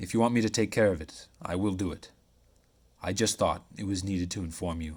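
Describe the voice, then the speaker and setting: A man's booming, very deep put-on character voice at a fairly quick pace. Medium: read story. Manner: sharp, brisk.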